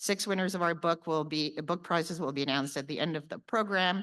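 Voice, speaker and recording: Against a quiet background, a woman talks with a Canadian accent. Her voice is fairly low in pitch, with ordinary pitch variation. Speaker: lawyer and conference organizer. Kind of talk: conference opening address. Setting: conference hall with audience. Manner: fast.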